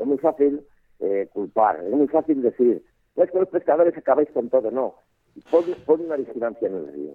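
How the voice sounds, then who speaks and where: A man speaks in a normal speaking voice at a moderate pace. His pitch is fairly high, with lively intonation. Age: 60s. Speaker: fly fishing expert and instructor. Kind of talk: casual interview. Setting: phone call.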